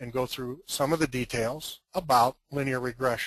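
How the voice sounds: A man with medium pitch sounds gravelly, with a fairly bright tone.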